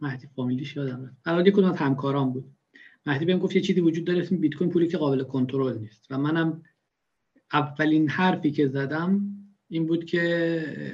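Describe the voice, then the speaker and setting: A man talks at a fairly quick pace in a fairly high pitch. He has an ordinary speaking voice with ordinary pitch variation. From Iran, Khorasan (rural). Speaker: bitcoin enthusiast. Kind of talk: casual interview.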